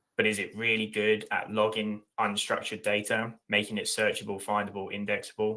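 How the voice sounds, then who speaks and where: Someone talks at a fairly quick pace with an English accent. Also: man. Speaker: tech company leader. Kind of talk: webinar panel discussion. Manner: passionate, animated.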